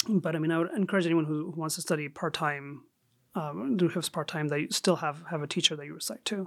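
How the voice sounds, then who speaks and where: Speaking at a very fast pace, a man with a Chicago accent has a fairly high pitch and ordinary pitch variation. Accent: American (Chicago area). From Saudi Arabia, then Chicago suburbs from sixth grade. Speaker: Islamic scholar and jurist. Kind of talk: casual interview.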